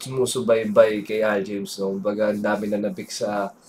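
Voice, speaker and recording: Noticeable background noise is heard while a man talks at a moderate speed. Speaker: music reactor and singer. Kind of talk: reaction video commentary.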